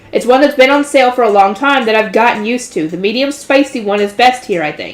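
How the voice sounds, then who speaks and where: A woman speaks at a very fast pace. Her pitch is high. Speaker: light novel reader, channel host. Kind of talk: reading aloud with commentary. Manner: stumbles over words.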